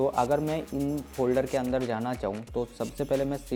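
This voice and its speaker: A man talks at a medium pitch with fairly even intonation. Music plays in the background. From West Bengal, India. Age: 20s. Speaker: ethical hacking instructor. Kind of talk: tech tutorial talk to camera.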